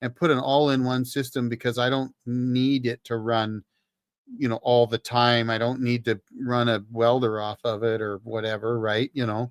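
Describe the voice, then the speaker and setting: Recorded with a dry, close sound and no echo, a man talks at a medium pitch with a Canadian accent. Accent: Canadian, noticeable on certain words. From British Columbia, Canada. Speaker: livestream host, ex-Marine talking off-grid power. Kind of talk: casual livestream chat. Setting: solo livestream. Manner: conversational, with fillers and restarts.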